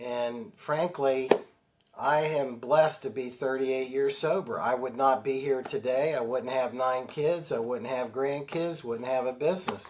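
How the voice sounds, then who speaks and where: A normal speaking voice, this man's medium-pitched delivery comes at a fairly slow pace with fairly even intonation. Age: 60s. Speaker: financial advisor and author. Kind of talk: interview.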